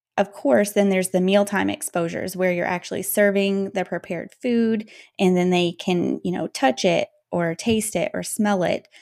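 On a very clean recording with a silent background and a dry, close sound with no echo, a woman with an ordinary speaking voice talks at a medium pitch and a moderate pace. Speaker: pediatric dietitian. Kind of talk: casual interview. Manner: articulate, polished.

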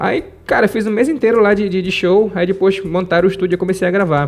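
A man speaks at a very fast pace in a high pitch, with ordinary pitch variation and music in the background. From Pará, Brazil (Marajó island, rural Moaná). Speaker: self-taught musician and music producer. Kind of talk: interview storytelling. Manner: halting, repeats words.

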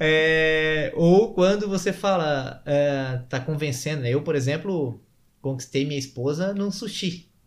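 A man talks very slowly, his voice pitched fairly high. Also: ordinary pitch variation. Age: 30s. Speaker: sales and persuasion trainer. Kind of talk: casual interview.

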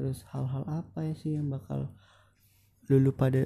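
This man's voice sits at a medium pitch with a dark, mellow tone. It is somewhat breathy, with lively intonation. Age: young. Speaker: solo podcaster. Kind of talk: casual monologue.

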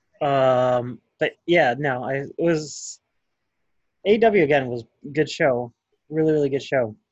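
Speaking at a very slow pace with long, frequent pauses, a man with an American accent uses a fairly high pitch and ordinary pitch variation. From Chicago. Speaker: wrestling podcast co-host. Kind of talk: casual chat.

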